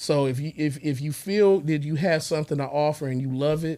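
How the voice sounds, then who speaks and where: A man's fairly high voice with a dark, mellow tone at a moderate pace. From Texas, by way of Little Rock Arkansas. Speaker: music producer. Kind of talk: interview conversation. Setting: studio.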